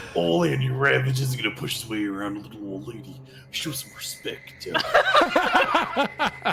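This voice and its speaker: A man does a put-on character voice at a moderate pace, his loudness swinging widely over clear background noise. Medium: actual play. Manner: jovial, wordy, swaggering.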